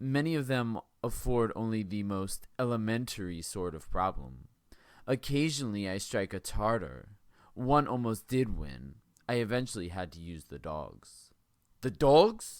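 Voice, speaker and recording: On a very clean recording with a silent background, a man talks at a fairly slow pace in a fairly low pitch. His pitch swings very widely and his loudness rises and falls in big swings. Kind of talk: audiobook reading.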